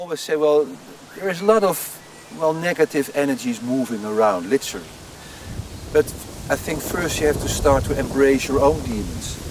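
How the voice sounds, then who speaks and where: A man with a Dutch accent talks at a fairly quick pace and fairly high pitch with lively intonation, leaving long, frequent pauses. Noticeable background noise can be heard. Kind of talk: interview.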